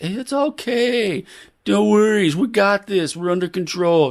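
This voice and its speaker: Over a silent background in a very clean recording, a man uses a put-on character voice with a high pitch at a moderate pace. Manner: reassuring, breezy.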